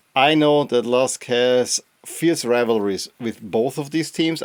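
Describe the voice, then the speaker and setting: A man with an Austrian accent speaks at a medium pitch with ordinary pitch variation. The sound is dry and close, with no echo. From Austria, Upper Austria. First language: German. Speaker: football podcast host. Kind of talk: podcast monologue. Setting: home studio. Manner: casual, conversational.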